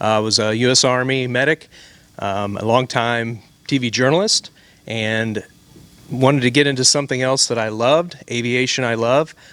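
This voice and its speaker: A man with an ordinary speaking voice talks at medium pitch and a moderate pace with fairly even intonation. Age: 50s. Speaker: flight instructor. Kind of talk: interview.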